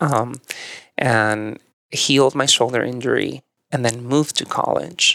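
A man speaks with a Mexican accent. His pitch is medium with ordinary pitch variation. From northern Mexico. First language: Spanish. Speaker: yoga and meditation teacher. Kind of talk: casual chat. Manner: animated.

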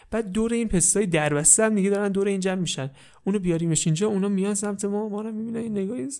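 A soft-spoken man talks at a very fast pace in a high voice with a dark, mellow tone and ordinary pitch variation. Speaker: storyteller. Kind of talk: parody bedtime story narration. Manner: velvety soft tone.

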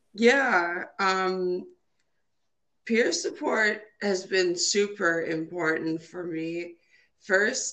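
Fairly low in pitch, a woman talks with an American accent. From Minnesota, US Midwest. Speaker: trombonist and cancer survivor. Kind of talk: interview. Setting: phone call.

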